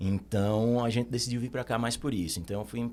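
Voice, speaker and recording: In a Recife accent, a man speaks with a dark, mellow tone and fairly even intonation. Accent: Northeastern Brazilian (Recife). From Brazil, Recife (Northeast). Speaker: accountant. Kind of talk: podcast interview.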